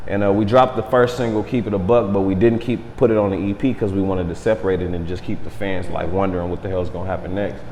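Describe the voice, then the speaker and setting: Talking at a very fast pace with hardly any pauses, a man with a fairly low pitch and ordinary pitch variation is heard through audible room echo and noticeable background noise. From Southern California (Los Angeles area). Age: 30s. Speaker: rapper. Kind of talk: casual interview. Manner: laid-back.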